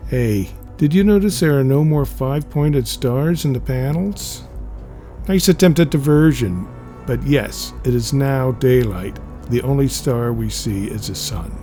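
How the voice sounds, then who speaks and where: Music plays in the background as a man speaks fairly slowly. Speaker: comics reader / narrator. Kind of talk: reading a comic aloud, casual humorous narration.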